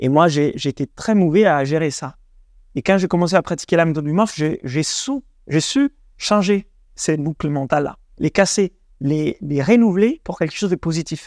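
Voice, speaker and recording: Recorded very cleanly against a silent background with a dry, close sound and no echo, a man speaks at a moderate pace and a fairly high pitch, with ordinary pitch variation and long, frequent pauses. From Italy. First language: Italian (speaking French). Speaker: breathing coach. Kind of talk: interview.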